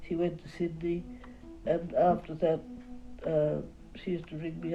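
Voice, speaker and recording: A woman's very deep, low pitch with ordinary variation, at a moderate pace, over music in the background. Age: 80s+. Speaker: portrait painter. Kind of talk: interview answer.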